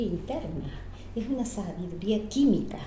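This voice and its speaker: The voice moves through very wide pitch swings. Audible room echo and noticeable background noise are present. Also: woman. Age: 70s. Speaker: biodiversity specialist. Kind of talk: casual chat.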